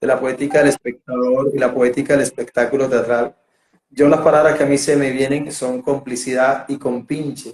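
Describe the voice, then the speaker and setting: A man's fairly high voice in a Colombian Caribbean accent, with monotone, flat intonation. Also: moderate pace. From Colombia, Barranquilla (Caribbean coast). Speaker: theatre director and interviewer. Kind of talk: interview. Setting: video call. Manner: halting, many repetitions and fillers.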